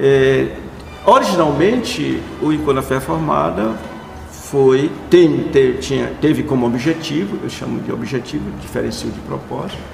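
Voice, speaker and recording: A man speaking at a fairly slow pace, with music in the background and audible room echo. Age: 70s. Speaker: pastor and conference founder. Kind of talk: interview.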